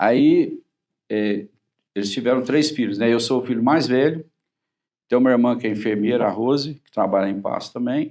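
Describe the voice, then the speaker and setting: A man of medium pitch talks at a moderate pace with ordinary pitch variation, big swings in loudness, and long, frequent pauses. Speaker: cardiologist. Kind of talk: TV talk-show interview.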